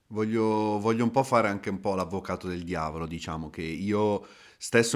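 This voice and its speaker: In an ordinary speaking voice, a man speaks at a moderate pace and fairly low pitch on a very clean recording with a silent background. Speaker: podcast host. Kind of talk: interview, conversational.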